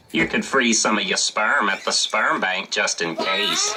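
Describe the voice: At a moderate pace, a cartoonish character voice with a low-to-middle pitch comes through over clear background noise.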